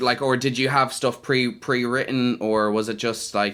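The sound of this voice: A man speaks at medium pitch and a moderate pace with fairly even intonation. His tone is bright and sharp.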